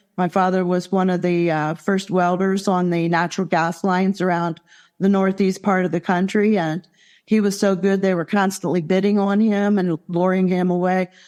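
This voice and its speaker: On a very clean recording with a silent background, a woman with a US Midwestern accent talks at a moderate pace in a medium pitch, with monotone, flat intonation and very even loudness. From Ohio, US Midwest. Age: 60s. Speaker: near-death experience survivor, retired landscaper. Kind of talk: interview testimony.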